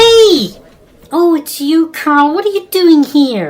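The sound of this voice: A woman does a put-on character voice at a high pitch. She talks at a slow pace with big pitch swings.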